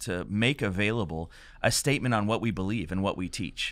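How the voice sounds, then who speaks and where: Against a quiet background, a man talks at a fairly quick pace and fairly low pitch with ordinary pitch variation, the sound dry with no echo. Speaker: pastor hosting a podcast. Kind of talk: podcast introduction. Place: studio. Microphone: studio mic.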